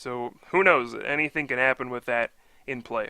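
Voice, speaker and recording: A man's bright, sharp tone at a moderate pace. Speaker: Pokemon TCG event commentator (auditioning). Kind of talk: sports-style event commentary. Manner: engaged, conversational play-by-play.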